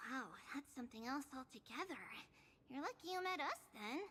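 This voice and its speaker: Over clear background noise, a female-sounding voice performs a put-on character voice at a high pitch and a fairly quick pace. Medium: video game.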